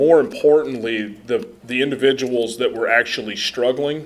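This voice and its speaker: With an American accent and medium pitch, a man talks at a moderate pace using ordinary pitch variation, with audible room echo around him. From US Midwest, central Nebraska. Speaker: soil health lab scientist, conference speaker. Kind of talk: conference presentation. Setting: conference room, podium with microphone, live audience. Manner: loud; casual, humorous.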